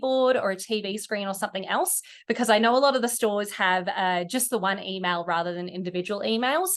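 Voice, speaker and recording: A woman with an Australian accent speaks at a fairly quick pace and a fairly high pitch. Her pitch variation is ordinary, and the background is quiet. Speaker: e-commerce company executive. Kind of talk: webinar presentation.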